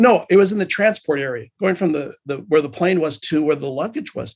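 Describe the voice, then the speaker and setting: This man talks at a very fast pace in a high pitch. His intonation is lively. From Hawaii. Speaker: church member sharing his story. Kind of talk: podcast interview, personal storytelling. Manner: halting, many fillers.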